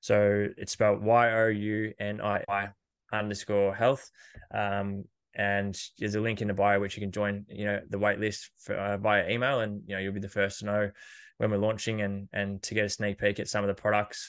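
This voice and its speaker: A man with an Australian accent speaks at a moderate pace. His pitch is fairly low, with monotone, flat intonation. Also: quiet background. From Australia, country Victoria. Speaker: personal trainer and fitness podcaster. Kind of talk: casual interview.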